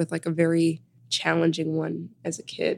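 This woman has a fairly low pitch and speaks with a Chicago accent. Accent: Chicago American English. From Chicago, South Side. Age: 20s. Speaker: author and wellness advocate. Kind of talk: interview.

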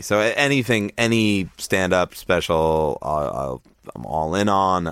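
Lively intonation carries the words along at a moderate pace. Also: man. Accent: American. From northern New Jersey. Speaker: rock musician. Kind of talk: casual chat.

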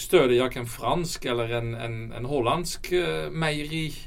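Audible room echo surrounds a man speaking at a moderate pace with vocal fry. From Netherlands. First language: Dutch (speaking Swedish). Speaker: company CEO. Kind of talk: interview. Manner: halting.

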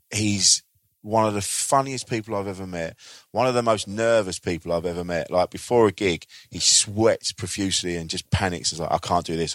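In an English accent, a man with a fairly low pitch talks at a fairly quick pace, the sound dry and close with no echo on a very clean recording with a silent background. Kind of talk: casual recommendation.

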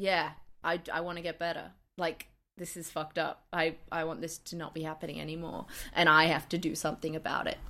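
A woman with a fairly low pitch and a bright, sharp tone talks at a fairly quick pace in a monotone, flat way. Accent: Australian. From Australia. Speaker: comedian. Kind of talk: casual chat.

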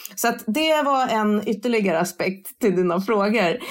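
A woman with an ordinary speaking voice talks at a fairly slow pace, using ordinary pitch variation. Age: 40s. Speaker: sustainability influencer. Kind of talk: interview.

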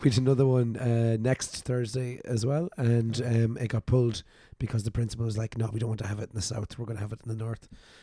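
In an Irish accent, a man speaks at a very fast pace and medium pitch, his tone dark and mellow, somewhat breathy, with monotone, flat intonation. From Ireland. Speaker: podcast host. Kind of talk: casual chat. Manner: jokey, laughs often.

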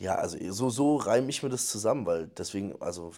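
Over a silent background in a very clean recording, a man talks at a moderate pace and medium pitch. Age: 20s. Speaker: podcast host. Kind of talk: casual chat.

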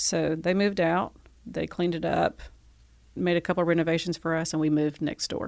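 A woman talks at a fairly quick pace in a monotone, flat intonation with vocal fry, on a very clean recording with a silent background. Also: fairly low pitch for a woman. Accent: Southern US. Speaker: gallery owner. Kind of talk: relaxed interview chat, conversational. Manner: easygoing, chatty.

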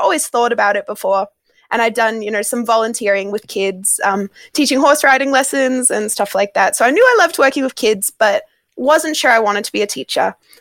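In an Australian accent, a woman speaks at a high pitch and a fairly quick pace with lively intonation, in a dry, close sound with no echo. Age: 20s. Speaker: primary school teacher. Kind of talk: casual interview.

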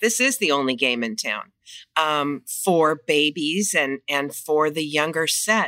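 Very slowly and with a very deep, low pitch, a woman with a Californian accent speaks in a bright, sharp tone, in a very clean recording with a silent background. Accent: Californian American. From Los Angeles, US. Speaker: children's gym franchise owner. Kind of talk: casual interview.

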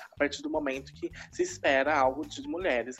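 A woman with a São Paulo accent at a fairly quick pace, music in the background. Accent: São Paulo Brazilian Portuguese. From Brazil, São Paulo city. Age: 20s. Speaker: university student and drag artist. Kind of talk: interview.

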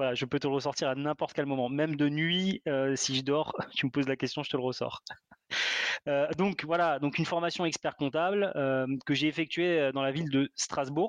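With a normal speaking voice, a man talks at a moderate pace and fairly high pitch, his intonation fairly even and the sound dry and close with no echo. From Alsace, France. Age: 30s. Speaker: property investor. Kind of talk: interview.

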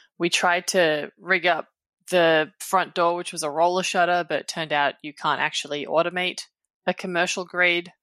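A woman's fairly low voice with an Australian accent, bright and sharp in tone, monotone and flat in intonation. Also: dry, close sound with no echo. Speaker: tech journalist. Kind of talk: casual chat. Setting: remote recording.

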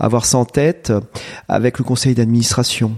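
The sound is dry and close with no echo, the tone dark and mellow. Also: man. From France, Eure-et-Loir. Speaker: agricultural high school principal. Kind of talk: interview. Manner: hesitant, many fillers.

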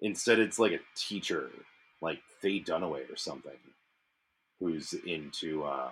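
A man's very deep, low voice with vocal fry, ordinary pitch variation and a fairly slow pace. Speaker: beer review podcast host. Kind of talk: casual chat.

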